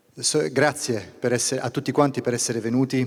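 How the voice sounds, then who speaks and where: A man speaks with an Italian accent. His pitch is medium. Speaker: regional business leader. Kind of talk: welcome speech. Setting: stage with audience.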